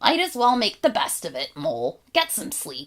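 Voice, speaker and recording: A woman puts on a character voice that is high-pitched and raspy. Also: moderate pace. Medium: read story. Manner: polite, calm, articulate.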